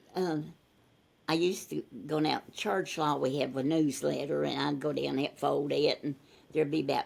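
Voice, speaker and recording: With a Texas accent, a woman talks at a moderate pace in a very deep, low pitch marked by vocal fry. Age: 90s. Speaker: interviewee, retired volunteer. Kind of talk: casual interview chat. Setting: video call. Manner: talkative.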